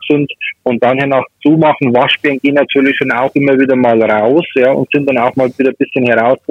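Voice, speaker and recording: In a Bavarian accent, a man speaks at a fairly quick pace with a medium pitch and fairly even intonation. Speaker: pest control expert. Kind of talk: phone interview.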